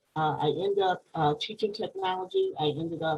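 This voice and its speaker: Somewhat breathy, a woman talks at a moderate pace in a fairly low pitch with ordinary pitch variation. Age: 60s. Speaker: panelist, formerly incarcerated. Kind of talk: panel discussion. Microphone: connection froze.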